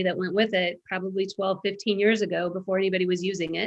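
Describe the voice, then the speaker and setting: This is a woman speaking. Her pitch sits in the middle range. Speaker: real estate agent. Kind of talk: casual interview.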